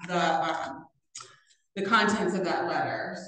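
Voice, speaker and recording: At a moderate pace, the voice carries strong room echo over light background noise. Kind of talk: meeting discussion. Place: meeting room. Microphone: camera far.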